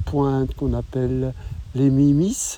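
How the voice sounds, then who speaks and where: This man's fairly high voice has a dark, mellow tone and ordinary pitch variation. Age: 60s. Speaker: travel podcaster. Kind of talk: travel narration.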